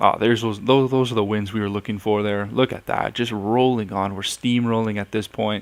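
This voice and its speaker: A man speaks with hardly any pauses. His intonation is flat and monotone. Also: fairly low pitch for a man, fairly quick pace. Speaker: gaming YouTuber. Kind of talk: gameplay commentary.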